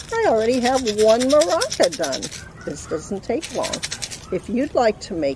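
A woman speaks at a fairly slow pace, her voice dry with no echo, while noticeable background noise runs underneath. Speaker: craft instructor for children. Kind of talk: tutorial. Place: garden. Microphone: camera far.

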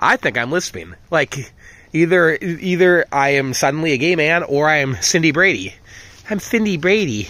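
The recording is very clean with a silent background. A man speaks at a moderate pace in a fairly high, bright, sharp voice. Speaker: vlogger, dog owner. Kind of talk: casual monologue to dogs. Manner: self-talk, rambling.

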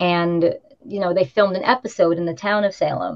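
A woman speaks at a moderate pace in a fairly low pitch. She has an unremarkable speaking voice over a quiet background. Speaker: witch, tour guide and tarot reader; tour guide, tarot reader. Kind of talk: casual interview. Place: home room. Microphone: video call.

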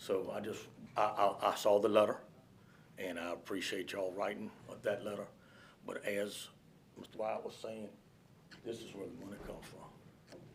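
Speaking with a Virginia accent at a moderate pace, the voice takes long, frequent pauses and swings widely in loudness amid audible room echo. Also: man. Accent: Southern US, rural Virginia. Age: 60s. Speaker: public commenter, hunter. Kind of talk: public comment at county board meeting. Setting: county board meeting room.

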